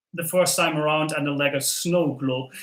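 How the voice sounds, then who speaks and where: In a slight Dutch accent, a man with a fairly high pitch and bright, sharp tone speaks at a fairly slow pace with fairly even intonation. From southern Netherlands. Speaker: LEGO content creator. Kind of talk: live stream chat while building. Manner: casual with many fillers.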